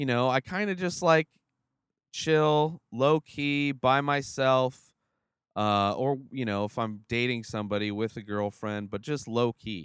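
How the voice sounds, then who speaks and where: At a fairly slow pace, a man speaks with lively intonation and a medium pitch. The recording is very clean, with a silent background. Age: 30s. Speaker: vlogger and podcaster. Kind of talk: casual monologue vlog. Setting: in the back of a van. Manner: hesitant, filler-heavy.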